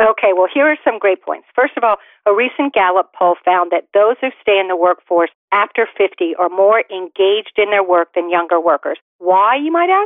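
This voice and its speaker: Using an ordinary speaking voice, a woman talks at a moderate pace and medium pitch, with ordinary pitch variation and very even loudness. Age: 50s. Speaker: career expert and author. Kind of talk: radio interview.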